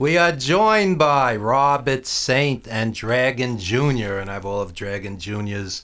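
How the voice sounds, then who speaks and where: In a New York accent, a man speaks at medium pitch and a moderate pace with ordinary pitch variation, noticeable background noise behind him. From Brooklyn, New York (East Flatbush). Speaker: radio host. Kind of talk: radio interview.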